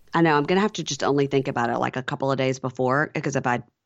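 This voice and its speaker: In a Southern US accent, a woman speaks at a very deep, low pitch with fairly even intonation. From Mississippi, US South. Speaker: podcaster, reality TV recapper. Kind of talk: casual chat.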